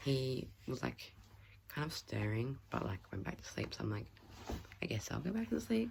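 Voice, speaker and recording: A woman speaks with an Australian accent at a moderate pace. She leaves long, frequent pauses. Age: 20s. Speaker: stay-at-home mum vlogger. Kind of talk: casual talk to camera.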